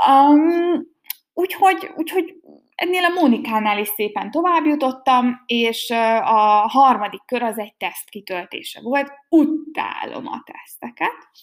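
A woman with a high voice speaks at a fairly slow pace, her pitch swinging very widely. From Hungary, Békéscsaba. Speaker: podcaster. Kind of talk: casual monologue. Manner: hesitant, many fillers.

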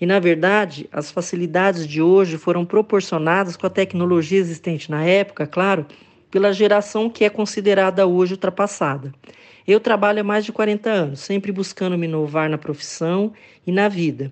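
A woman with an ordinary speaking voice, medium pitch and a moderate pace. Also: fairly even intonation. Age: 60s. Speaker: content writer. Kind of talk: testimony.

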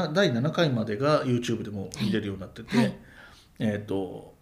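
A man's voice sounds somewhat breathy. Audible room echo surrounds it. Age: 40s. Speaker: podcaster and amateur rakugo performer. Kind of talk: casual chat.

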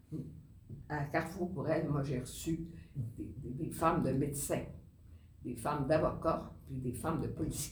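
A woman speaks with very deep, low pitch and fairly even intonation at a fairly slow pace. Long, frequent pauses break her speech, and the room echo is audible. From Quebec. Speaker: nun and social worker. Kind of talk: interview. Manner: halting, repeats words.

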